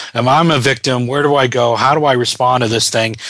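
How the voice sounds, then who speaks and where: Over noticeable background noise, a man with a medium pitch talks at a moderate pace with fairly even intonation. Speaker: radio host. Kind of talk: radio interview, host. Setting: radio show. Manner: conversational, welcoming.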